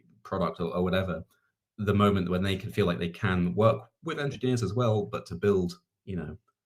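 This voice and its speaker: A man at a fairly quick pace, with vocal fry, lively intonation and big swings in loudness. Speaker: startup community lead. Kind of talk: panel Q&A. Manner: hesitant, filler-heavy.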